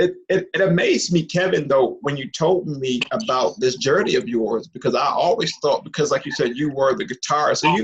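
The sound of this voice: A man with a slightly husky edge talks at a fairly quick pace with few pauses and ordinary pitch variation. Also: medium pitch for a man.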